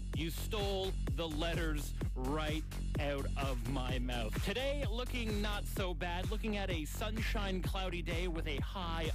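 A man talks over loud music in the background, the sound dry with no echo. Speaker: radio host. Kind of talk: top 40 radio aircheck, overnight show. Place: studio. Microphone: studio mic.

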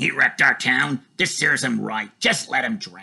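A man's growling, put-on character voice at a medium pitch. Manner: growling, angry.

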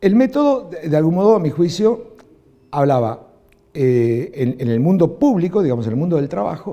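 A man with an Argentine accent, a dark, mellow tone and very wide pitch swings. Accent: Rioplatense Argentine Spanish. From Argentina. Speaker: film director; interviewee. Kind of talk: interview. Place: studio. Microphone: lapel.

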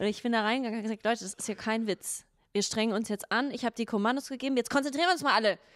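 A woman at a very fast pace and fairly high pitch, with ordinary pitch variation, over a quiet background. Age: 30s. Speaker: podcast co-host. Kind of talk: casual chat. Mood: playful, laughing. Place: studio. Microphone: handheld.

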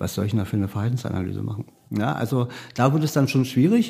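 Somewhat breathy and dark, mellow in tone, a man's medium-pitched voice moves with ordinary pitch variation. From Berlin, Germany. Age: 50s. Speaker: criminal profiler, police unit head. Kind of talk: interview.

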